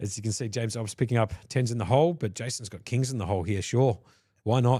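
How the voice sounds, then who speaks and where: With an Australian accent, the voice moves at a very fast pace in a dark, mellow, somewhat breathy tone with ordinary pitch variation, in a very clean recording with a silent background. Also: man, medium pitch for a man. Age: 40s. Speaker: poker commentator. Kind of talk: live commentary.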